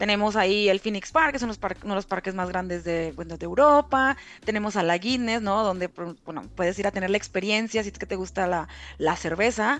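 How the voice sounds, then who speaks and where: An unremarkable speaking voice goes fairly quickly, its pitch shifting in an ordinary way. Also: woman, medium pitch for a woman. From Mexico, Reynosa, Tamaulipas. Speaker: content moderator. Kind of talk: casual chat.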